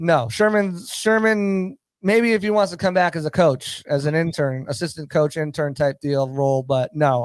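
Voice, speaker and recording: A man with a Boston accent and a fairly high pitch, ordinary pitch variation, and a dry, close sound with no echo. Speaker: football analyst. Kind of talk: sports talk show discussion. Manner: fast, stammering repetitions.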